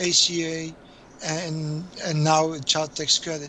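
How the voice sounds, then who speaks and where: A man with a Polish accent and a fairly high pitch. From Poland. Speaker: accountant. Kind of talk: interview. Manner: halting.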